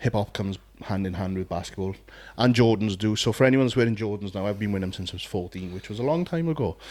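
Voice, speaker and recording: Recorded very cleanly against a silent background, a man with a Welsh accent talks at a very fast pace with ordinary pitch variation. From South Wales. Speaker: podcast co-host, bodybuilder, former DJ. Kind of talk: casual chat.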